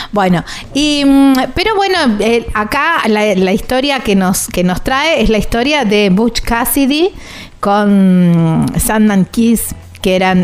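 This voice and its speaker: Over music in the background, a woman talks at a very slow pace in a fairly high pitch with very wide pitch swings. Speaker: radio travel show host. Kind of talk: casual interview. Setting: recording on the road.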